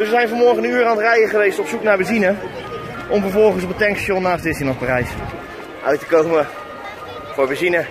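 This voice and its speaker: Over clear background music, a man talks very fast in a high voice. The sound is dry, without echo. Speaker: vlogger. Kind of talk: casual vlog chat. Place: street. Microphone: phone near.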